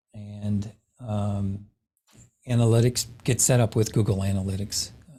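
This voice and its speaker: A man with a fairly low pitch speaks in a dark, mellow, somewhat breathy voice with fairly even intonation, on a very clean recording with a silent background. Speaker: real estate tech trainer. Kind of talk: lecture.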